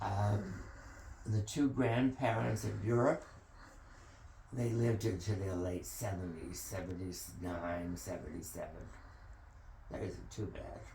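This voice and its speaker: A man speaks in a very deep, low voice at a fairly slow pace, leaving long, frequent pauses. His intonation is lively, and room echo is audible. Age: 80s+. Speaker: family elder telling family history. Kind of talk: oral history interview. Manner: halting.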